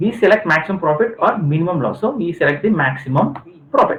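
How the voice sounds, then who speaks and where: A man talks at a fairly quick pace with very wide pitch swings. His voice has vocal fry. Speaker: university lecturer. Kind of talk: lecture. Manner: halting.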